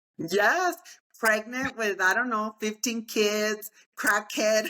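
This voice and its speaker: The woman speaks at a very slow pace with ordinary pitch variation. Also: fairly high pitch for a woman. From Texas (El Paso). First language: Spanish. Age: 50s. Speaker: real estate agent and motivational speaker. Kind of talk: interview.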